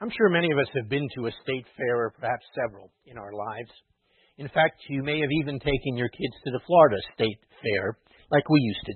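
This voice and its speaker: In an ordinary speaking voice, a man talks fairly quickly at a medium pitch. His intonation is lively, with big swings in loudness. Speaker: rabbi or clergy preacher. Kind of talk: sermon with a mock carnival-barker routine. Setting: synagogue or church with congregation.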